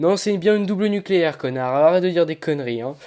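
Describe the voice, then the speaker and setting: Here a man speaks at a high pitch. His tone is dark and mellow. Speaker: gaming commentator. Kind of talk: gameplay commentary over video.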